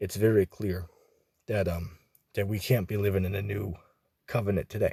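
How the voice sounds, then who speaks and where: Somewhat breathy and fairly low in pitch, a man speaks in a monotone, flat way with long, frequent pauses. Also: moderate pace. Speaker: religious commentator. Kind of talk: casual religious commentary. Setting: out and about. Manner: informal, many filler words.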